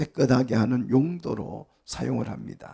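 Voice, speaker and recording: This man's voice has vocal fry and a dark, mellow tone at a medium pitch. He speaks very slowly. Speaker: pastor. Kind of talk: sermon.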